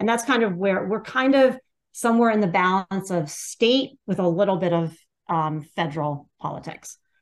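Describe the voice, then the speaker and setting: With a plain, everyday voice, a woman speaks at a moderate pace and medium pitch with lively intonation. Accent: American. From Pennsylvania, US. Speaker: political activist organizer. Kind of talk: interview.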